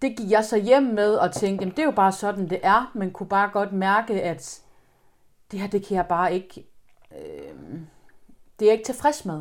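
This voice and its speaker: A woman at medium pitch, fairly slow with long, frequent pauses and ordinary pitch variation, in a very clean recording with a silent background. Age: 30s. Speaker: guest sharing personal experience. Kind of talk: testimony. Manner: halting.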